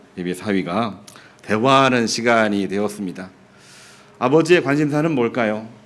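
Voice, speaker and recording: A man with a medium pitch and lively intonation talks at a moderate pace, leaving long, frequent pauses, with audible room echo around him. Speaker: pastor. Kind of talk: sermon.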